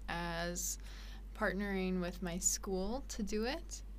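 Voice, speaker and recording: Speaking very slowly with a Canadian accent, a woman is heard with audible room echo. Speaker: missionary and social worker. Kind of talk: casual interview.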